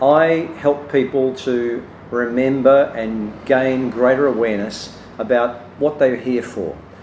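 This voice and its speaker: Background noise is noticeable as this man talks at a medium pitch. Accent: Australian. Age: 60s. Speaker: business consultant and speaker. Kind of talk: promotional self-introduction. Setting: cafe. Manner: hesitant, many fillers.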